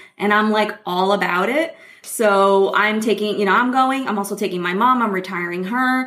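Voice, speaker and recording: The speech moves at a moderate pace. Background noise is clearly noticeable throughout. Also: woman, medium pitch for a woman, ordinary pitch variation. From Brazil. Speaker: money coach and former attorney. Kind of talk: casual interview.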